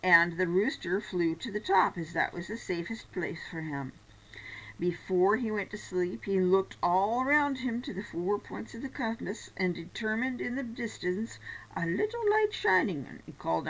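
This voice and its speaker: A woman at a moderate pace, with lively intonation and big swings in loudness. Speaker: storyteller. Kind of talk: reading a story aloud. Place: home room. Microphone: webcam.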